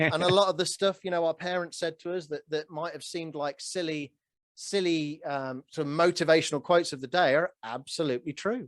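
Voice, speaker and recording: At a fairly quick pace, a man with a high voice speaks with ordinary pitch variation, the sound dry and close with no echo. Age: 40s. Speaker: real estate note investor. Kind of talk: podcast interview conversation.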